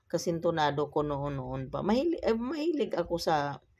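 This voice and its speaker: In a very clean recording with a silent background, a woman speaks at a fairly slow pace and a fairly low pitch. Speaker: vlogger. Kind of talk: voice-over narration. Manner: casual, conversational.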